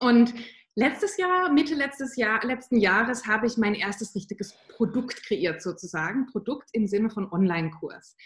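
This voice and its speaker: A woman speaks with lively intonation at a fairly high pitch. Her voice is somewhat breathy. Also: moderate pace. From southern Germany. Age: 30s. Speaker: mindset and motivation coach for mothers. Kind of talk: interview.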